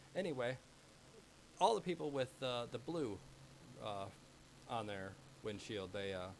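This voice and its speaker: A man speaks at a moderate pace. He leaves long, frequent pauses. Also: medium pitch for a man. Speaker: sim racing commentator. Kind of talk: live commentary. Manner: monotone; sounds bored.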